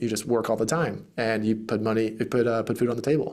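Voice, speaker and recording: On a very clean recording with a silent background, a man speaks at a medium pitch with an American accent. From US South, Greenville, South Carolina. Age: 30s. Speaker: real estate investor and podcast host. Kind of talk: interview conversation.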